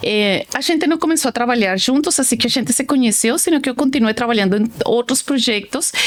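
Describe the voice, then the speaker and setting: A woman with a Colombian accent talks at a fairly quick pace with hardly any pauses, her high pitch carrying lively intonation at very even loudness over noticeable background noise. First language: Spanish (speaking Portuguese). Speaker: telecom company director. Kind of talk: casual interview.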